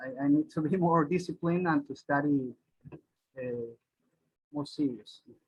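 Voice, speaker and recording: A somewhat breathy voice with a Spanish accent and long, frequent pauses. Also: man, fairly high pitch for a man, ordinary pitch variation, moderate pace. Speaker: singer and flautist. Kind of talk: interview. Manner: halting, many repetitions.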